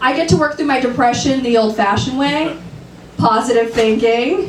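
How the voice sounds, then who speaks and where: Lively intonation marks this woman's high-pitched voice, heard with audible room echo and noticeable background noise. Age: 30s. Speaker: stand-up comedian. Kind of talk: stand-up. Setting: stage with audience.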